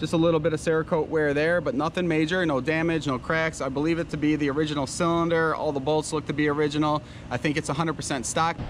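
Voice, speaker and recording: Over clearly audible background noise, the words come out very fast. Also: man. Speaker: motocross vlogger, dirt bike flipper. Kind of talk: casual vlog walkthrough. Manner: excited, animated.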